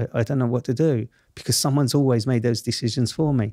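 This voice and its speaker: With a South East London accent, a man talks at a fairly quick pace and medium pitch with ordinary pitch variation. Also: very clean recording, silent background. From southeast London, Camberwell. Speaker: journalist and TV presenter, former wrongfully convicted prisoner. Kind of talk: podcast interview. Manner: animated.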